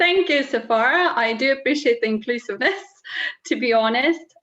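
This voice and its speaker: A woman speaks with a Russian accent at a fairly high pitch. Her pitch swings very widely. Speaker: keynote speaker, tech senior manager. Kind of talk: personal talk at online event. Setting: video call.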